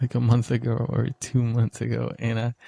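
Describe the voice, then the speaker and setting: In a dry, close sound with no echo, a man of medium pitch speaks at a fairly slow pace, his tone dark, mellow and somewhat breathy. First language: Spanish. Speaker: podcaster. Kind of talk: solo casual podcast monologue. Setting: home room studio, talking to camera. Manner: halting, with frequent repetitions.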